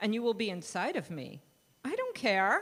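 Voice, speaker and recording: The voice has vocal fry. It moves at a fairly slow pace. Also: woman. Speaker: director of religious education. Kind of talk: reading aloud a children's story. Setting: church.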